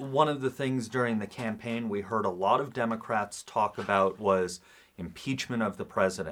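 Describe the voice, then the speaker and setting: An unremarkable speaking voice at a moderate pace, with ordinary pitch variation, on a very clean recording against a silent background. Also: man. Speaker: radio host. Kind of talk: radio news interview.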